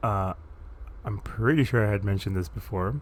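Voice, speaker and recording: Somewhat breathy and relaxed in tone, a man speaks at a fairly low pitch. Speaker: gaming YouTuber. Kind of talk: gameplay commentary. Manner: relaxed, casual.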